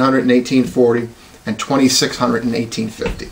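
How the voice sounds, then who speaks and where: A man at a medium pitch with an American accent, talking very fast over noticeable background noise. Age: 40s. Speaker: police officer and college student. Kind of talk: class speech. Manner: formal.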